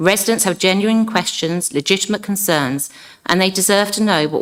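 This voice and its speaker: This woman has an unremarkable speaking voice, talking at a fairly quick pace with ordinary pitch variation. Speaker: local councillor. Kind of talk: council debate speech. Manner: formal.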